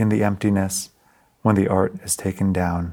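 On a very clean recording with a silent background, a man speaks in a very deep, low, monotone, flat voice. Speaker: poet. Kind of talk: poetry reading. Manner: measured, hushed, lyrical, deliberate.

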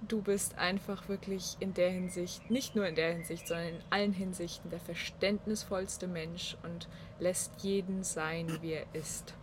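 A woman talks at a fairly slow pace in a monotone, flat intonation that is somewhat breathy. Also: fairly low pitch for a woman. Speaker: podcast guest. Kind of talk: casual chat. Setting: on a balcony in Munich.

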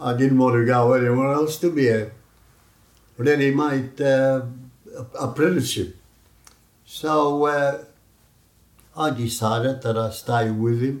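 A man with a Greek accent, fairly slow pace, fairly even intonation, and long, frequent pauses. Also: medium pitch for a man. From Greece. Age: 90s. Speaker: community elder, immigrant. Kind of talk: oral history interview.

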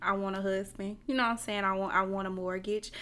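A woman speaks with a Southern US accent at a medium pitch. Her intonation is monotone and flat on a very clean recording with a silent background. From US South, Lancaster, South Carolina. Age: 20s. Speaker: podcast guest. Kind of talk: casual chat.

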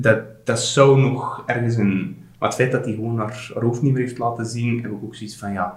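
Fairly even intonation and a medium pitch characterize this man's speech. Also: moderate pace. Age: 30s. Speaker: general practitioner, father. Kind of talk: casual interview, personal birth story. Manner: halting, with many restarts. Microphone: poor sound quality in recording.

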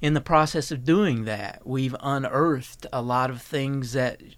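Speaking at a moderate pace with an Appalachian accent, a man of medium pitch comes through on a very clean recording with a silent background. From Eastern Kentucky. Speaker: health researcher. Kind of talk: radio interview. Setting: studio.

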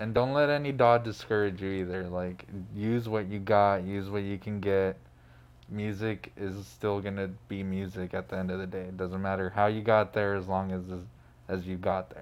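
In a plain, everyday voice, a man speaks with an American accent at a fairly low pitch. He keeps a moderate pace and fairly even intonation. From Phoenix, Arizona. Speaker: DJ and music producer. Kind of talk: casual interview chat. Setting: studio.

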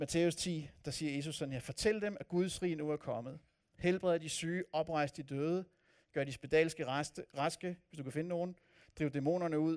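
A man with a fairly high pitch has an ordinary speaking voice and fairly even intonation. He speaks at a moderate pace on a very clean recording with a silent background. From Copenhagen area, Denmark. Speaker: pastor. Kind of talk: sermon. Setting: church.

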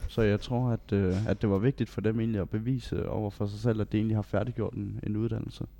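A man with a fairly low pitch talks at a fairly quick pace with hardly any pauses, his dark, mellow tone carried on a monotone, flat intonation. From Denmark, Funen (Bellinge, Odense). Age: 19. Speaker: vocational student, retail trainee. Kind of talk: casual interview. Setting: meeting room. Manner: halting.

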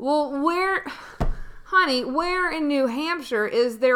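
A woman uses a raspy, put-on character voice with a high pitch. She speaks at a very slow pace. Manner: slow and puzzled.

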